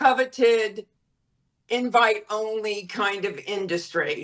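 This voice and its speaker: A woman with a normal speaking voice talks in an American accent at a fairly high pitch. Her pace is fairly slow and her pitch variation ordinary. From US South, Florida. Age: 60s. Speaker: former model and modeling agent. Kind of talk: interview.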